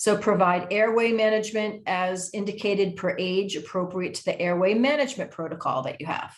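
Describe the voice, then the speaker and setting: Medium-pitched woman's voice with ordinary pitch variation. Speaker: education program manager at nonprofit. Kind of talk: presentation. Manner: fast; halting, many fillers.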